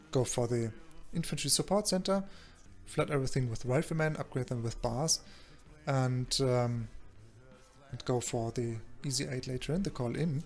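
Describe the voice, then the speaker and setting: Over background music, a man with a German accent speaks at a moderate pace and medium pitch, with ordinary pitch variation and long, frequent pauses. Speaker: video game coach and commentator. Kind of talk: game replay commentary. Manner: halting, many fillers.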